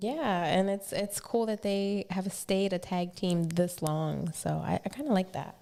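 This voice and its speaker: With an American accent, a woman speaks fairly slowly and with hardly any pauses, her medium-pitched voice dark and mellow in tone and varying in pitch in an ordinary way. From Philadelphia. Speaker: podcast co-host. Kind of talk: casual podcast talk.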